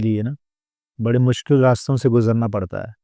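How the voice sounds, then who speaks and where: Against a quiet background, with a dry, close sound with no echo, a man at medium pitch speaks in a dark, mellow tone with monotone, flat intonation. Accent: Punjabi. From Punjab, Ludhiana. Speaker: comedian and mimicry artist. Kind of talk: podcast interview.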